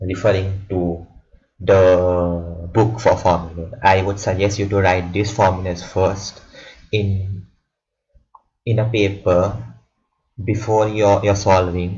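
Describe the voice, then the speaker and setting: Somewhat breathy speech comes at a very slow pace with long, frequent pauses, fairly even intonation, and audible room echo. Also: man, very deep, low pitch for a man. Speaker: student tutor explaining algorithms. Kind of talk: tutorial. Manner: halting, many repetitions.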